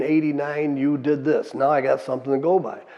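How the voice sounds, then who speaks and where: A man with an American accent speaks in a monotone, flat intonation. Noticeable background noise is present. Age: 70s. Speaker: war veteran. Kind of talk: testimony. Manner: casual, conversational.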